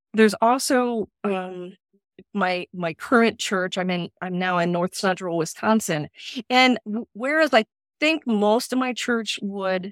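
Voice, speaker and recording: Captured with a dry, close sound and no echo, a woman with an ordinary speaking voice talks fairly slowly at a medium pitch with ordinary pitch variation. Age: 50s. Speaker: pastor. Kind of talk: group conversation.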